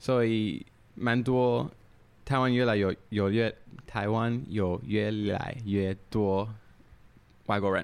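With an English accent, a man speaks at a very slow pace with long, frequent pauses, fairly low pitch, fairly even intonation and very even loudness. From Canada, Toronto. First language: English (speaking Chinese). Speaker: drinks brand founder. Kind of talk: casual chat. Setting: recorded at his home.

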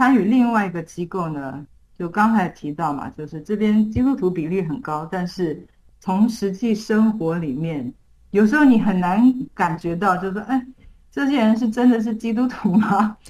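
A moderately paced, somewhat breathy voice with lively intonation. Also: woman, medium pitch for a woman. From Taiwan. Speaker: missionary. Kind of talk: interview.

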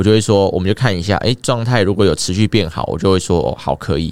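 A man rattles along at a very fast pace, his fairly low pitch showing ordinary variation. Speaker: fitness coach. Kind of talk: casual chat.

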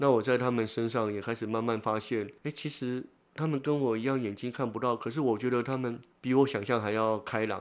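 A man's ordinary speaking voice at medium pitch, a fairly quick pace, very clean recording with a silent background. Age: 50s. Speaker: blind social worker and author. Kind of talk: interview.

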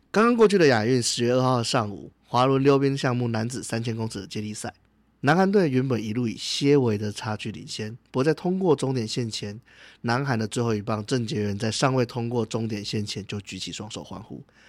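With a plain, everyday voice at a medium pitch, a man speaks at a fairly quick pace, showing ordinary pitch variation and big swings in loudness, on a very clean recording with a silent background. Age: 30s. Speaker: podcast co-host. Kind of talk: casual discussion; scripted narration.

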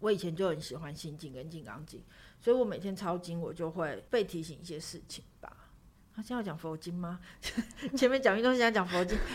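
An ordinary speaking voice from a woman, fairly low in pitch, at a fairly quick pace, with lively intonation and big swings in loudness. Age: 40s. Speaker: writer. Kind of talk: interview.

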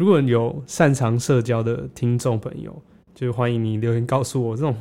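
At a moderate pace, a man speaks in a medium pitch with a dark, mellow tone. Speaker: podcast host, product designer. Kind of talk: casual solo monologue.

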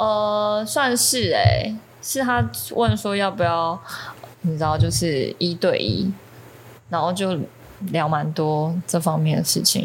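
A woman's somewhat breathy voice, fairly low in pitch, at a very slow pace with long, frequent pauses and very wide pitch swings. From Taiwan. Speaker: ceramic artist. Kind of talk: casual chat.

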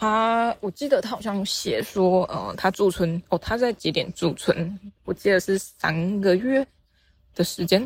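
A somewhat breathy woman at a medium pitch, with a dry, close sound and no echo. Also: ordinary pitch variation. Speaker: podcast host and novice art teacher. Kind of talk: casual solo monologue. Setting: outdoors, walking near fields. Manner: halting, with many fillers.

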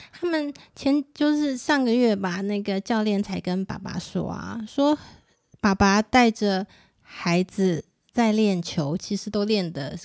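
A woman's medium-pitched voice with lively intonation at a very slow pace, in a dry, close sound with no echo. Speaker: parent and nonprofit association board member. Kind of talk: casual chat.

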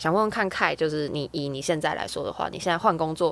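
A woman's fairly low-pitched, plain, everyday voice on a very clean recording with a silent background. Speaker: podcast co-host. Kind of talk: casual interview chat.

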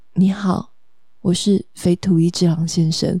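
A put-on character voice, husky and pitched in the middle range. It moves at a fairly slow pace with monotone, flat intonation. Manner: low, husky.

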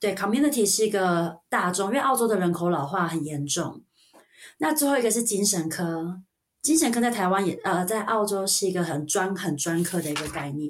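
Here is a woman with a Taiwanese accent. Her pitch is medium. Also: lively intonation, moderate pace. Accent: Taiwanese Mandarin. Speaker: registered nurse. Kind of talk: casual interview chat.

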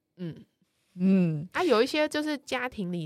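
A woman with a fairly low pitch speaks at a moderate pace with very wide pitch swings. The recording is very clean, with a silent background. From Taiwan. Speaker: columnist on Brazilian culture. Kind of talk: casual chat.

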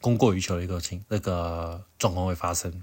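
Very deep, low male voice, delivered fairly quickly. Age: middle-aged. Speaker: podcast host. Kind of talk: solo news commentary. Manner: halting with many fillers.

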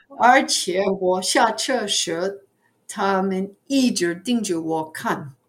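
A woman in an English accent speaks at a medium pitch and a very slow pace, her intonation lively. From US Northeast, New York area. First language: English (speaking Chinese). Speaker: retired ESL teacher. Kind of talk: casual interview. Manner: halting, many fillers.

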